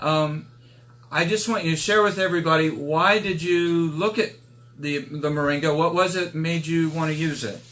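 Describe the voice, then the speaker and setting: A plain, everyday voice from a man, fairly high in pitch, at a moderate pace with ordinary pitch variation. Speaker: product promoter. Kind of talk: casual live stream interview host.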